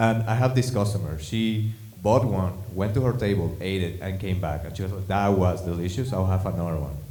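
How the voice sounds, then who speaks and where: A man with a non-native accent and a very deep, low pitch speaks at a fairly quick pace with ordinary pitch variation, amid noticeable background noise and audible room echo. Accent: foreign. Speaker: stand-up comedian. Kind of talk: stand-up.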